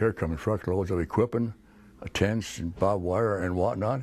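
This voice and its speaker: Speaking at a moderate pace, a man with a very deep, low pitch uses ordinary pitch variation. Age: 90s. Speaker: war veteran. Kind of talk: interview answer.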